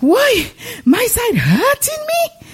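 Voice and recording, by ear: A female-sounding, put-on character voice, raised and projected, hits an extremely high pitch with very wide pitch swings.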